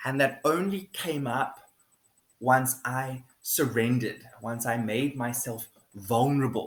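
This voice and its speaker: A somewhat breathy man at a medium pitch, with a very slow pace. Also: ordinary pitch variation. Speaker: video blogger. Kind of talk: personal monologue. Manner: halting.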